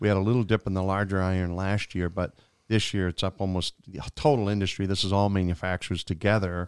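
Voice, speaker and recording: In a Maine accent, a man with a very deep, low pitch talks at a very fast pace with fairly even intonation, the sound dry and close with no echo on a very clean recording with a silent background. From Maine, Aroostook County. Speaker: sales executive. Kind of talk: casual interview. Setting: studio.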